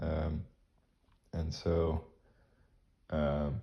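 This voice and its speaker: A man speaks with a very deep, low pitch and a dark, mellow tone. His voice is somewhat breathy, with ordinary pitch variation. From Jamaica. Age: 20s. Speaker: YouTuber. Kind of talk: monologue. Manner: halting, many fillers.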